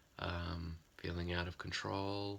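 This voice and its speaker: This man speaks in a very deep, low voice with a bright, sharp tone, an Australian accent and monotone, flat intonation. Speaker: psychotherapist. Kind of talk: informal talk to camera.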